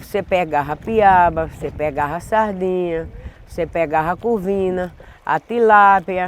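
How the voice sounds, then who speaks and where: Her pitch sits at a medium level and varies in an ordinary way. The woman has an unremarkable speaking voice. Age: 60s. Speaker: fisherwoman. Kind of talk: interview.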